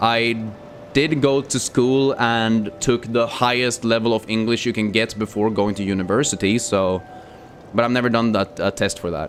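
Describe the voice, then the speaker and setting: A man talks at a moderate pace and medium pitch, with ordinary pitch variation. Noticeable background noise is present. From Sweden. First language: Swedish. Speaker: gaming streamer. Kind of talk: casual live stream chat. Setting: live stream. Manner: casual, with many fillers.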